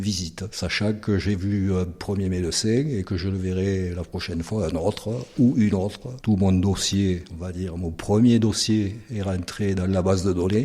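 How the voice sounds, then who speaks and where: In a very deep, low voice, a man speaks with a dark, mellow tone and fairly even intonation. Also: fairly slow pace. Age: 60s. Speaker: patient. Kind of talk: interview. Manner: hesitant.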